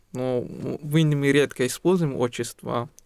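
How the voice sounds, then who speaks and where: With an Indian accent, a man speaks at a fairly slow pace. His pitch is fairly high and varies in an ordinary way. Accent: Indian-accented Russian. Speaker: guest, doctor and musician. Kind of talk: casual interview. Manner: halting, grammatical errors in Russian.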